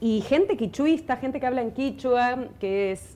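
A woman's dark, mellow voice with a Rioplatense accent, a fairly slow pace and ordinary pitch variation. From Buenos Aires, Argentina. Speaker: folk singer and violinist. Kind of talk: interview. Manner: halting, many repetitions.

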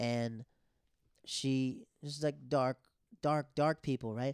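The sound is dry and close, with no echo. A man speaks in a medium pitch and a flat monotone. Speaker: comedian. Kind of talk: casual chat.

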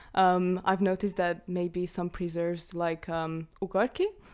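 A woman with a Hungarian accent talks at a medium pitch. The recording is very clean, with a silent background. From Hungary. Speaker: art student. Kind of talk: casual chat.

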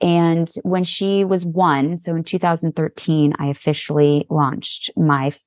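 A woman with a very deep, low pitch speaks at a moderate pace with hardly any pauses and fairly even intonation. The sound is dry and close with no echo, against a quiet background. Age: 40s. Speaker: photographer. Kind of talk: casual chat.

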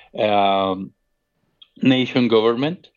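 A man with a Colombian accent speaks at a medium pitch. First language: Spanish. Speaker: expat worker. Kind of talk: casual chat.

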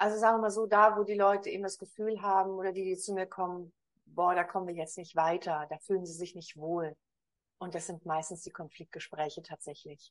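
Talking at a fairly quick pace, a woman with an unremarkable speaking voice keeps a medium pitch and fairly even intonation, though her loudness swings a lot. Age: 50s. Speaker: communication coach. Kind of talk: interview.

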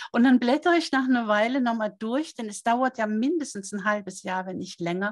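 A somewhat breathy woman speaks at a moderate pace with ordinary pitch variation against a quiet background. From Norway. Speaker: author and seminar leader. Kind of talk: interview.

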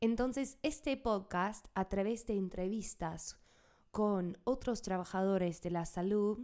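A woman with an English accent talks at a medium pitch and a very slow pace. Her intonation is lively. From United States. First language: English (speaking Spanish). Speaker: podcast host and health worker. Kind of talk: scripted podcast intro. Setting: home studio.

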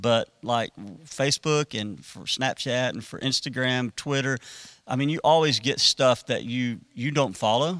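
Recorded very cleanly against a silent background, with a dry, close sound and no echo, a man speaks fairly slowly at medium pitch, with ordinary pitch variation and a bright, sharp tone. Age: 40s. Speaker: student ministry pastor. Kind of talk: casual chat.

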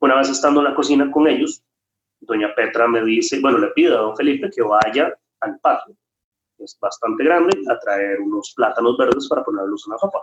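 The speaker talks at a fairly quick pace with a Costa Rican accent. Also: man. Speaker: chef and restaurant owner. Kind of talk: interview.

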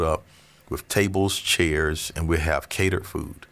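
Very deep, low male speech with fairly even intonation. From Central Florida. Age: 40s. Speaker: pastor. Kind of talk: casual interview.

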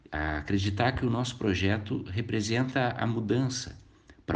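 A man is speaking. His voice is somewhat breathy. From southern Brazil, Canoas (Rio Grande do Sul). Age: 40s. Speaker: lawyer and vice-mayor candidate. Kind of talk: interview.

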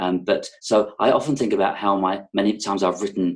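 A man with a slight London accent speaks at a fairly quick pace. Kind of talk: casual interview chat. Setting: video call.

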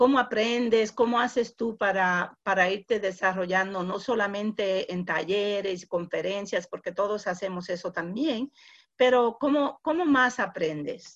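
In an English accent, a woman talks at medium pitch and a fairly slow pace with ordinary pitch variation against a quiet background. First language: English (speaking Spanish). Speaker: podcast host. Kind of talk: interview.

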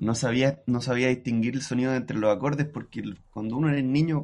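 Talking with a Chilean accent, a man speaks at a medium pitch and a fairly quick pace with lively intonation. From Chile, Antofagasta. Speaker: musician and music producer. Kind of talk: casual chat.

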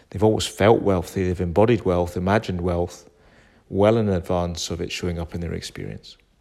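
Music plays in the background as someone speaks at a moderate pace. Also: man. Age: 50s. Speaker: podcast host, self-help speaker. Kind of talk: solo monologue. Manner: casual.

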